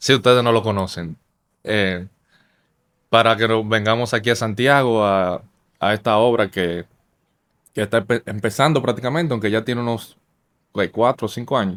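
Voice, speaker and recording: A man's medium-pitched voice at a moderate pace, with long, frequent pauses and ordinary pitch variation, on a very clean recording with a silent background. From Dominican Republic, Santo Domingo. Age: 20s. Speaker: church member. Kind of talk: casual chat.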